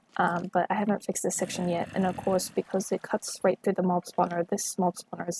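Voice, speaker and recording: In a dry, close sound with no echo, a woman with an American accent talks at a moderate pace in a fairly low, monotone, flat delivery. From US. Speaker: gaming video creator. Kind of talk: gameplay walkthrough. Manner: casual, many filler ums.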